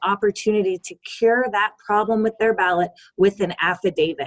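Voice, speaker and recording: An ordinary speaking voice, a woman at medium pitch and moderate pace, dry and close with no echo. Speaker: voting rights advocate. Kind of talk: webinar presentation. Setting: video call.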